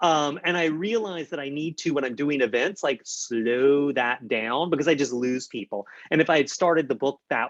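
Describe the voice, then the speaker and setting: In a dry, close sound with no echo, a man talks at a fairly high pitch with ordinary pitch variation. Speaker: horror novelist. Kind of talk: author event talk. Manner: fast.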